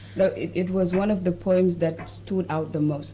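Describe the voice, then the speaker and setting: A woman's fairly low voice, fairly even in intonation, at a fairly slow pace. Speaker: show host. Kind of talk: casual discussion.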